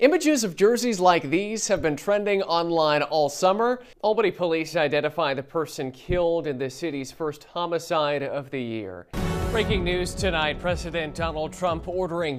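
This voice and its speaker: Over music in the background, a man talks at a moderate pace with a fairly high pitch and ordinary pitch variation. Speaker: TV news anchor and reporter. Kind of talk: TV news anchor and reporter delivery.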